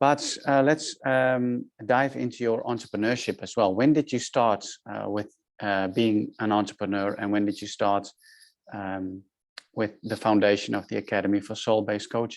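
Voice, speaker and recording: On a very clean recording with a silent background, a man speaks with a Dutch accent in a fairly low voice. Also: ordinary pitch variation, moderate pace. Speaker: podcast host, business mentor. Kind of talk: podcast interview. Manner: halting, many fillers.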